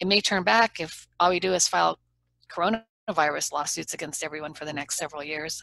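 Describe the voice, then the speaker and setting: Bright and sharp in tone, a woman with a fairly low pitch and vocal fry speaks at a fairly quick pace with ordinary pitch variation, in a dry, close sound with no echo. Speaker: trial lawyer. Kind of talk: interview. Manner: not booming, persuasive rather than loud.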